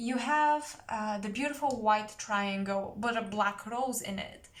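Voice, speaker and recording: A woman with a non-native accent speaks at a very slow pace with ordinary pitch variation, and audible room echo surrounds her. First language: not English. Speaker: tarot reader. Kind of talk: psychic tarot reading.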